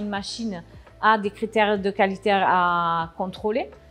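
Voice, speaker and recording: A woman talks at a medium pitch. Music can be heard behind her. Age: 40s. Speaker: production manager. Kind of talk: interview. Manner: hesitant, many filler sounds.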